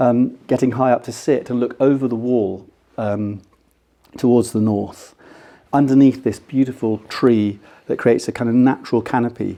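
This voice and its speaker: With an English accent, a man speaks at a medium pitch in a dark, mellow tone, his pitch varying in an ordinary way. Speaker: architect. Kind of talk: lecture. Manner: fast.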